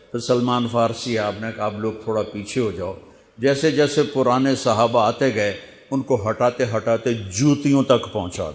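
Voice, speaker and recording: A man talks in an unremarkable speaking voice. It sits at a medium pitch with ordinary pitch variation. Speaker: Islamic preacher. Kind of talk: Islamic sermon storytelling.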